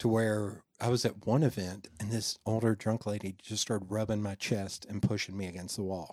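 A man with an American accent and a fairly low pitch uses a normal speaking voice with fairly even intonation at a moderate pace, hardly any pauses, and a very clean recording with a silent background. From Knoxville, East Tennessee, US. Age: 40s. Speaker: podcaster and business owner. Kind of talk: casual chat.

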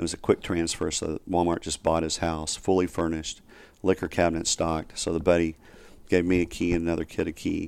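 In a Southern US accent, a man speaks at a very deep, low pitch with monotone, flat intonation, on a very clean recording with a silent background. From US South, Northwest Arkansas. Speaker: investor and criminal justice reform advocate. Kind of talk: interview. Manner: halting, many fillers.

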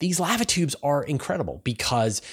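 A man with a Canadian accent speaks in a plain, everyday voice at a moderate pace with lively intonation, on a very clean recording with a silent background. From Canada. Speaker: space news podcast host. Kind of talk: science news commentary. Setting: studio.

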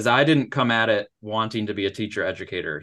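Bright and sharp, a man's voice races at a very fast pace in an American accent. The background is quiet. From Michigan, Upper Peninsula. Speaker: math education professor. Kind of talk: interview.

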